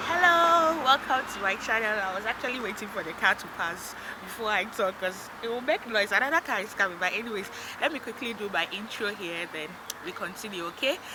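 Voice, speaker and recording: A woman talks at a fairly quick pace with very wide pitch swings over noticeable background noise. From Africa. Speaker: vlogger. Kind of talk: vlog. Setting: outdoors. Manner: loud. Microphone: no microphone, voice low.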